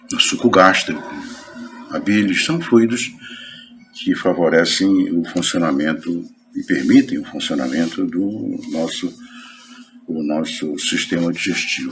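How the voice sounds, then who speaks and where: A man speaks at a fairly slow pace, with long, frequent pauses. Room echo and noticeable background noise can be heard. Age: 70s. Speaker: spiritist lecturer. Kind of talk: lecture. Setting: spiritist center meeting. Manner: halting.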